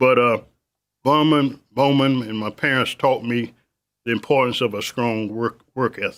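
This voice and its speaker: In a Southern US accent, a man talks at a moderate pace with fairly even intonation. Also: medium pitch for a man, very clean recording, silent background. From South Carolina. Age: 70s. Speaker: business owner. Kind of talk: interview. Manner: halting.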